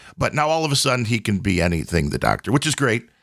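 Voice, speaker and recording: Speaking at a fairly quick pace, a man has a medium pitch. His tone is bright and sharp. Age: 40s. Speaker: podcast host. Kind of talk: casual chat.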